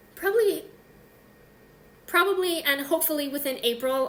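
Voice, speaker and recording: The woman's pitch swings very widely, and audible room echo can be heard around her voice. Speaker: knitting podcast host. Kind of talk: casual solo video podcast. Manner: animated.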